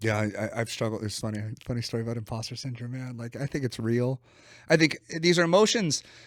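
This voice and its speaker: Someone speaks at a very fast pace with a West Coast accent and ordinary pitch variation, in a very clean recording with a silent background. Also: man, medium pitch for a man. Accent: West Coast twang. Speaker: business coach. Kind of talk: podcast interview. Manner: animated; casual.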